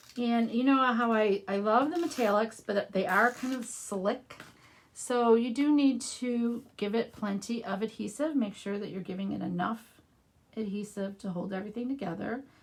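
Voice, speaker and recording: Against noticeable background noise, a woman in a Midwestern accent speaks at a moderate pace with a fairly high pitch and ordinary pitch variation. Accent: Midwest US. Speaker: craft demonstrator. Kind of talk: live craft tutorial. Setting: livestream. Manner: casual, conversational.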